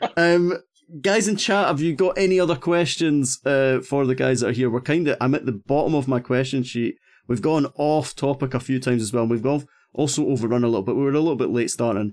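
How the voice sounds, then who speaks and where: This man talks at a very fast pace in a fairly high voice with ordinary pitch variation. His loudness stays very even. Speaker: podcast host. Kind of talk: casual interview chat. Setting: online stream. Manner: chatty, jokey, laughs often.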